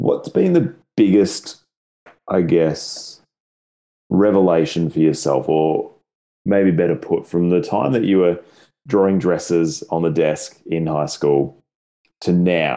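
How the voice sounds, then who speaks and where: The speaker goes at a very slow pace with long, frequent pauses and ordinary pitch variation. The tone is dark and mellow, with an Australian accent. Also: man, very deep, low pitch for a man. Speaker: podcast host. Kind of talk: casual interview chat.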